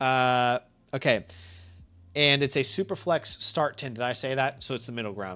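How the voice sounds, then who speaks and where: A man with an American accent speaks at a medium pitch and moderate pace, his tone bright, sharp and animated. Long, frequent pauses break up his speech in a very clean recording with a silent background. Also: ordinary pitch variation. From US, Virginia (DMV) then Kansas City. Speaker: fantasy football streamer. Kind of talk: live stream chat. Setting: live stream. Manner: casual, animated.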